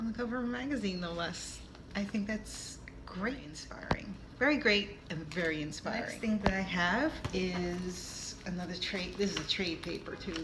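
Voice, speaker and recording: A moderate pace over noticeable background noise. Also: woman, medium pitch for a woman, lively intonation. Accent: New York. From New York. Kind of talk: casual talk to camera.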